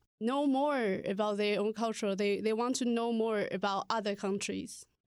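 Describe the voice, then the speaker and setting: A woman with a Chinese accent, fairly high pitch and ordinary pitch variation, at a moderate pace in a very clean recording with a silent background. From Taiwan. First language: Mandarin Chinese. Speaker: language teacher. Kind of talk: casual interview.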